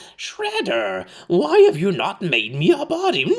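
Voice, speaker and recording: A man's put-on character voice, high in pitch and at a fairly slow pace. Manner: whiny, demanding.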